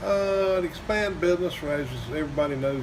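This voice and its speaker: A man talks with ordinary pitch variation amid noticeable background noise and audible room echo. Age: 70s. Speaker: bicycle repair shop owner. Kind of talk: interview. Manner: halting.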